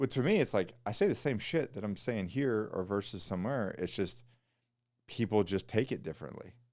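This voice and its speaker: Against a silent background in a very clean recording, a man with a normal speaking voice talks at a fairly low pitch and a fairly quick pace, with lively intonation. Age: 40s. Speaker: podcast host. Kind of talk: casual chat.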